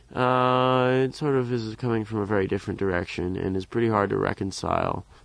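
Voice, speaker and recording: A man with an American accent has an ordinary speaking voice at medium pitch. He talks at a fairly quick pace with fairly even intonation. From US, Philadelphia area. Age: 20s. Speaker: klezmer trombonist. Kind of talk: interview. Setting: on location at a music camp.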